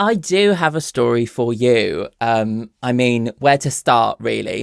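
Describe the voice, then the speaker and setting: A man speaks at a very slow pace with a southern English accent. The sound is dry and close with no echo. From southern England (Bournemouth). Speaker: content creator, podcast guest. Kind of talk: casual storytelling. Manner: hesitant, many fillers.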